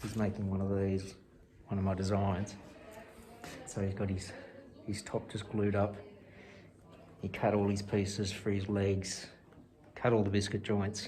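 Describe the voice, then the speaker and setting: Fairly slow and monotone, a man with an Australian accent speaks at a fairly low pitch with flat intonation and long, frequent pauses. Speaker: woodwork teacher. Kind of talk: casual vlog talk to camera.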